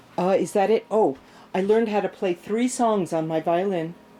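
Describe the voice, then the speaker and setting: At a moderate pace, a woman talks in a dark, mellow tone at medium pitch with ordinary pitch variation. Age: 60s. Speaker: home gardener and self-published author. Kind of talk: casual vlog. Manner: animated.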